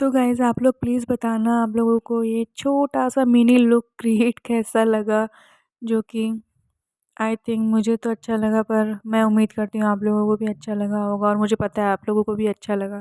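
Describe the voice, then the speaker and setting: A woman speaks in a fairly high pitch with a dark, mellow tone and monotone, flat intonation. The recording is very clean with a silent background, and the sound is dry and close with no echo. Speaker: vlogger. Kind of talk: casual vlog talk. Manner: hesitant.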